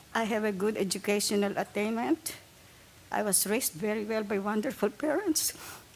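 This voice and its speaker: Over noticeable background noise, a woman with a fairly high voice speaks at a fairly quick pace, with ordinary pitch variation and very even loudness. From abroad, not US (came to the States after college). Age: 70s. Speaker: public commenter at transit board meeting. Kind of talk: public comment testimony. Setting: public meeting at table microphone.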